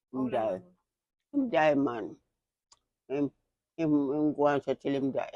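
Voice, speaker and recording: With a Jamaican accent, the speaker moves at a fairly slow pace with long, frequent pauses, a dark, mellow tone and ordinary pitch variation, in a dry, close sound with no echo. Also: woman, very deep, low pitch for a woman. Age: 80s+. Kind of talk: interview answer.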